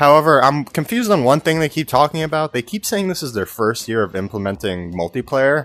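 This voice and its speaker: Over music in the background, a man speaks in a dry, close sound with no echo. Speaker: gaming YouTuber. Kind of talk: video commentary.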